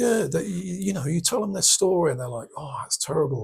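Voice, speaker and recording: Talking at a fairly quick pace, a man speaks with an English accent. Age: 60s. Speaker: war veteran and bereaved father. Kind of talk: interview.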